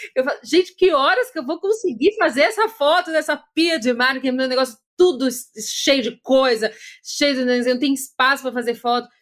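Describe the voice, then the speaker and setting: A woman talks at a moderate pace, her voice high in pitch and her intonation lively. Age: 40s. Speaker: podcast host and content creator. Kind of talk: casual interview chat.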